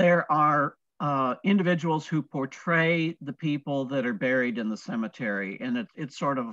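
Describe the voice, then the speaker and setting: With an American accent, a man speaks at a moderate pace in a fairly high, bright, sharp voice, his lively intonation carrying on with hardly any pauses over a quiet background and dry sound with no echo. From Toledo, Ohio; Ohio. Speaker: retired museum curator and historian; guest. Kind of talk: interview. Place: home room. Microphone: video call.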